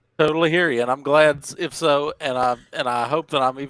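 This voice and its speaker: A man in a Southern US accent speaks with fairly even intonation. The sound is dry and close with no echo, on a very clean recording with a silent background. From southwestern Virginia. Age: 30s. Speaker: stream participant with schizoid traits. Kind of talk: casual chat. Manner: halting.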